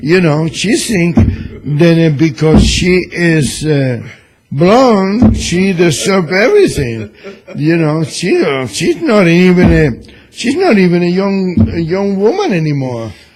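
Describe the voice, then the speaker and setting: A man's high-pitched, lively delivery at a very slow pace, with noticeable background noise. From Cuba. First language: Spanish. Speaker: radio host and newspaper columnist. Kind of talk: political talk radio chat. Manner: loud; animated.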